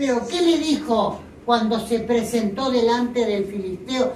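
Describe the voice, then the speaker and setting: Fairly slow speech comes through with audible room echo and noticeable background noise. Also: woman. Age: 70s. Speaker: lay preacher. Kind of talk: sermon.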